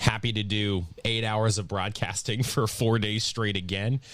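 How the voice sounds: A man at a fairly slow pace, fairly low pitch and a fairly bright tone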